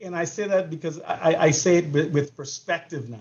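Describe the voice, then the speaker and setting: In a Bahamian accent, a man speaks with fairly even intonation and a somewhat breathy sound. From Bahamas. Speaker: sports coach. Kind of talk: panel discussion. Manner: halting, many repeated words.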